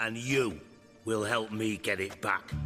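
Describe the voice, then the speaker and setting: A man's raspy, put-on character voice at a medium pitch and fairly slow pace, with clear music in the background. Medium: short film. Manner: sarcastic, profane.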